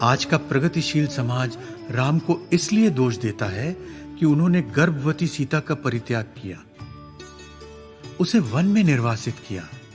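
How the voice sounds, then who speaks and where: Over music in the background, the speaker uses lively intonation and leaves long, frequent pauses. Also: man, fairly high pitch for a man. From India. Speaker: voice actor. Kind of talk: book review narration.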